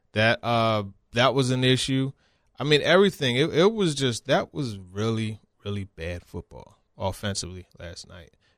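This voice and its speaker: A man with a normal speaking voice, medium in pitch, moderate in pace and lively in intonation, with big swings in loudness, in a very clean recording with a silent background and a dry, close sound with no echo. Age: 40s. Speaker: sports reporter. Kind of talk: casual chat.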